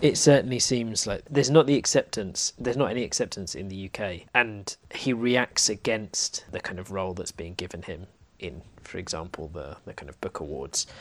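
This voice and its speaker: In an unremarkable speaking voice, a man with a fairly low pitch talks at a moderate pace with lively intonation. His loudness swings widely, and the recording is very clean, with a silent background. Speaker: podcast co-host. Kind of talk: casual literary discussion.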